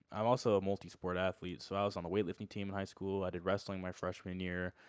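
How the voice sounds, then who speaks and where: An ordinary speaking voice with an American accent, in a very clean recording with a silent background, dry and close with no echo. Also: man. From Orlando, Florida. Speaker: college football walk-on player. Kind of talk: casual chat.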